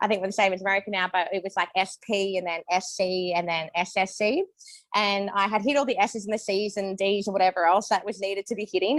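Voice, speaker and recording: A woman speaks very fast with an Australian accent. Her medium-pitched voice keeps fairly even intonation. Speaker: network marketing distributor. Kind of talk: testimony.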